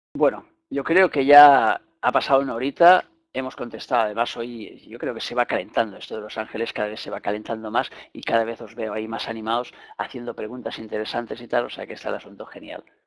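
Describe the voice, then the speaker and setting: Talking at a very fast pace with a Spanish accent, a man uses a medium pitch, ordinary pitch variation and big swings in loudness. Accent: Peninsular Spanish. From Spain. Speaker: spiritual teacher. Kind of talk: lecture.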